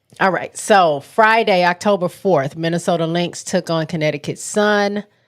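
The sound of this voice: On a very clean recording with a silent background, a woman speaks in a fairly low, nasal voice with ordinary pitch variation. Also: moderate pace.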